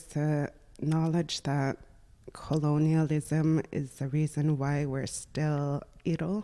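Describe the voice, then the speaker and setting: A woman's voice has a dark, mellow tone and a very deep, low pitch. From Nunavik, northern Quebec (Inuit). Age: 20s. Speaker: dental assistant, former university student. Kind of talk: podcast interview.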